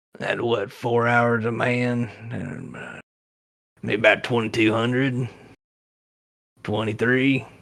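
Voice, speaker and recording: In a raspy, put-on character voice, someone speaks at a fairly slow pace with long, frequent pauses, monotone, flat intonation and big swings in loudness. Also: man, medium pitch for a man. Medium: actual play. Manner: folksy, drawling.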